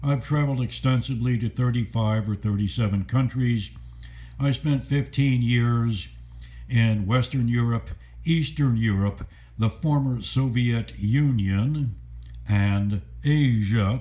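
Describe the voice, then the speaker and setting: Somewhat breathy, a man with an American accent speaks at a fairly slow pace in a medium pitch with a dark, mellow tone, ordinary pitch variation and very even loudness. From US South, Stuart, Florida. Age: 70s. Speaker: adventurer and video blogger. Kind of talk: personal monologue.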